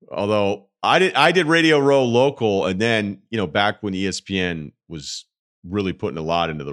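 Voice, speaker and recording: A man speaks at a moderate pace in a very deep, low voice with very wide pitch swings. The recording is very clean, with a silent background. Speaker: sports radio host. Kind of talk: interview conversation.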